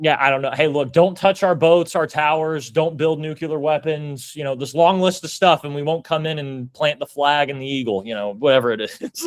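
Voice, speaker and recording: With an American accent and an unremarkable speaking voice, a man talks at a moderate pace and a fairly high pitch, showing ordinary pitch variation and hardly any pauses. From United States. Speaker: podcast host, military veteran. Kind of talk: casual interview.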